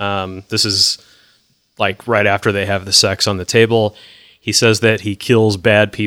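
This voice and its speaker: A man with a normal speaking voice talks at a moderate pace, his pitch fairly low and his intonation fairly even. The sound is dry and close, with no echo. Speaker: podcast host. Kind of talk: casual podcast chat discussing a TV episode.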